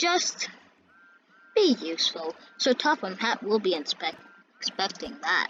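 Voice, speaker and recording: A woman's put-on character voice, fairly high in pitch, with very wide pitch swings, a fairly slow pace and long, frequent pauses. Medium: read story.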